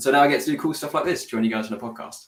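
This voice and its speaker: A man speaks with a British accent. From UK. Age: 20s. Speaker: graphic designer. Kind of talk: casual chat.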